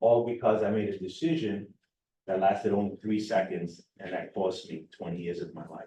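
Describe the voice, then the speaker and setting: Speaking with a New York accent, a man with a fairly low, dark, mellow voice talks at a moderate pace with ordinary pitch variation and big swings in loudness. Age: 50s. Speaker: recovery coach director. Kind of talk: personal testimony speech. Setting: public forum with audience. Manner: animated, conversational.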